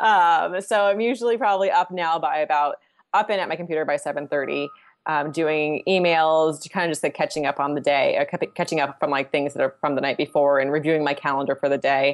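Against a quiet background, a woman with an American accent talks very fast in a very deep, low pitch with ordinary pitch variation. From Southern California. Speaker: financial planner. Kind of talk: casual interview chat.

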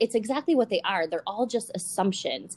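Upbeat and enthusiastic, a woman talks at a fairly quick pace with a fairly high pitch. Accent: American. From Buffalo, New York. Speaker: podcast host. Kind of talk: interview, casual chat. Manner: upbeat, enthusiastic.

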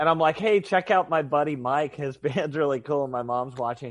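An ordinary speaking voice from a man with an American accent, fairly high pitch, ordinary pitch variation and a moderate pace, against a quiet background. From United States. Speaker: punk musician and guitar maker. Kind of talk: casual chat.

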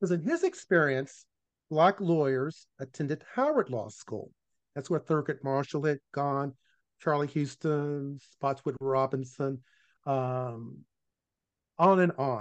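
With an American accent, a man talks at a fairly slow pace and fairly high pitch, leaving long, frequent pauses, with ordinary pitch variation. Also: quiet background. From Virginia, US South. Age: 60s. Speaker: former law professor and author. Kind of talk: casual interview conversation.

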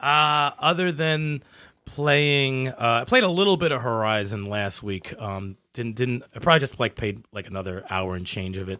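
A man's unremarkable speaking voice at medium pitch with lively intonation. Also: moderate pace. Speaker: podcast co-host. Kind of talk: casual chat, live stream. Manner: casual, profane.

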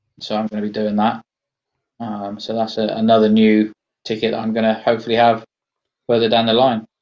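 A man's medium-pitched voice in a West Country accent, monotone and flat, fairly quick yet with long, frequent pauses. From England, Somerset. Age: 40s. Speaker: army veteran and amputee golfer. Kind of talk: interview, personal testimony.

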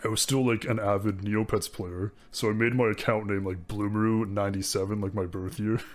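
In a very clean recording with a silent background, a man speaks at a moderate pace. His pitch is fairly low and his intonation fairly even. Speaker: streamer. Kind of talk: casual interview.

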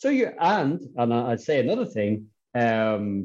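A man with an Irish accent talks at a fairly slow pace. His pitch is medium, and the background is quiet. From Ireland. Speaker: manuscript conservator. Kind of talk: interview. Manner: halting with repeated words.

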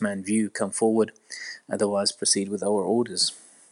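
A man speaks at a fairly quick pace with an Arabic accent. The background is quiet. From Iraq. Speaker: orthopedic surgeon. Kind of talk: interview. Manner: hesitant, many fillers.

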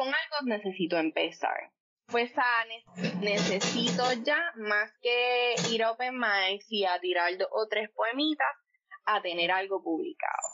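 A woman speaks very slowly with a lively, bouncing intonation. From Puerto Rico, Coamo. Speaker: poet. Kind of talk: interview conversation. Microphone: line issues during recording.

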